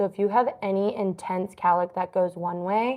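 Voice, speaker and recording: Soft-spoken and medium in pitch, a woman talks with fairly even intonation over a quiet background. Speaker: hairstylist. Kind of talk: tutorial. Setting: live stream.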